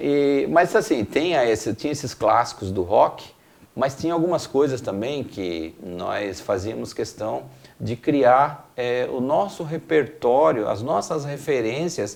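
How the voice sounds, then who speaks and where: Speaking at a very slow pace, a man uses a fairly high pitch with vocal fry. His pitch swings very widely. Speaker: rock band singer. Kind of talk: interview.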